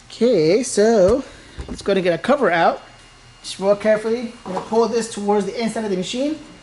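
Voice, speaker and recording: Woman at a fairly quick pace, fairly high in pitch with ordinary variation, big swings in loudness and noticeable background noise. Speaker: printer repair tutorial host. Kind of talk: tutorial. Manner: fast; casual.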